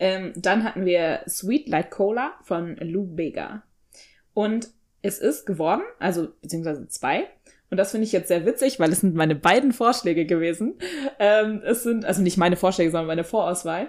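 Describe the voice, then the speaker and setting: A woman talks at a moderate pace. Her pitch rises and falls in an ordinary way. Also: medium pitch for a woman. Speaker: podcast co-host. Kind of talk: casual chat. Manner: animated.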